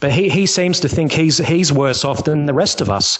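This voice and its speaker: With an Australian accent, a man talks at a fairly high pitch and a fairly quick pace. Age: 30s. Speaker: caller. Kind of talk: casual chat. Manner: halting.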